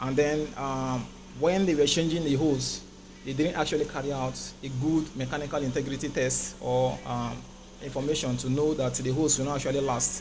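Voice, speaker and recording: With audible room echo, a man speaks in a fairly high pitch with monotone, flat intonation. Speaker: safety engineer presenter. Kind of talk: technical presentation. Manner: fast; hesitant, many fillers.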